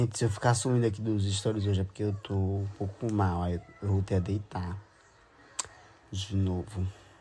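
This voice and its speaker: A man's fairly low, dark, mellow, somewhat breathy voice with monotone, flat intonation, a moderate pace, and light background noise. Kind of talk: casual vlog chat. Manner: weak, low-energy voice of someone ill. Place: home room. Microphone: phone near.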